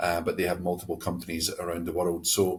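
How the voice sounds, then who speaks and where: On a very clean recording with a silent background, a man with a Scottish accent speaks in a very deep, low voice that is somewhat breathy. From Scotland. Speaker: company president. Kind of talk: podcast interview. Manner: halting, many fillers and repeats.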